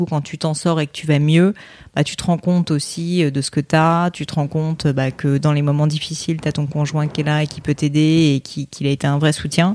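A woman's very deep, low voice at a moderate pace, in a very clean recording with a silent background and a dry, close sound with no echo. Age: 30s. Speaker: entrepreneur and podcaster. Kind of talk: casual chat.

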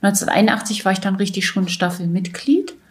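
The speaker is a woman with a somewhat breathy voice. She talks at a fairly slow pace. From Saxony-Anhalt, East Germany. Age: 60s. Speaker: former athlete. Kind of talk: interview testimony.

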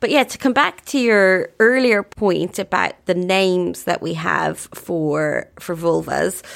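Fairly low-pitched speech from a woman, with ordinary pitch variation. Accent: Irish. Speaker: writer and journalist. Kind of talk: interview.

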